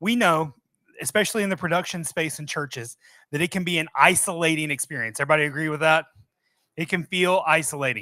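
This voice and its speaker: Very clean, with a silent background, the recording captures a man with a slight Southern US accent speaking at a very fast pace in a bright, sharp tone, his fairly high pitch showing ordinary variation. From US South, Mobile, Alabama. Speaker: software company presenter. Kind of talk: presentation to live audience. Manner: casual, conversational.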